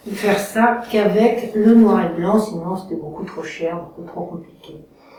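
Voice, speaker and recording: A woman at a fairly slow pace, fairly even intonation, with audible room echo and noticeable background noise. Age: 60s. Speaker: photography course student. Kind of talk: testimonial. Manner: hesitant, many fillers.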